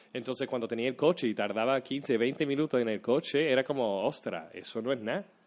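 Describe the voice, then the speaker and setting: In an ordinary speaking voice, a man talks at a moderate pace with a medium pitch. His pitch varies normally, and the background is quiet. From US Midwest (Troy, Michigan, near Detroit). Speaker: actor. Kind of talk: casual chat.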